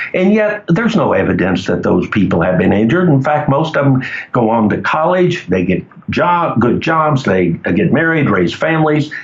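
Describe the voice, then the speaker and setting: Heard over noticeable background noise, a man with an American accent speaks at a fairly high pitch, with very wide pitch swings and very even loudness. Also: moderate pace. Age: 70s. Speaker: cannabis legalization activist. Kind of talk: interview. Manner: hesitant, many fillers.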